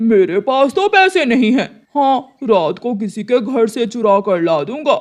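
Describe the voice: A cartoonish character voice at a fairly high pitch and moderate pace, with hardly any pauses.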